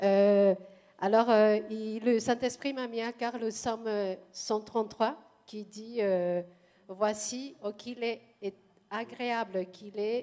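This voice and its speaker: A woman with a Spanish accent speaks very slowly in a monotone, flat intonation, with a dark, mellow tone and a fairly high pitch. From Mexico. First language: Spanish (speaking French). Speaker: churchgoer. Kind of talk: testimony. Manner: halting.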